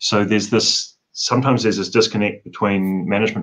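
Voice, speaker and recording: His pace is fairly quick. The man's intonation holds fairly even. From New Zealand. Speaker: forensic odontologist; guest. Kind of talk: interview. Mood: earnest, reflective. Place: home room. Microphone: video call.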